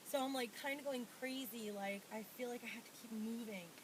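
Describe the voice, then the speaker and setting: Speaking at a fairly slow pace, a woman with a fairly high pitch keeps a fairly even intonation against noticeable background noise. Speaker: pregnancy vlogger. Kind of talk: casual vlog. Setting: at home.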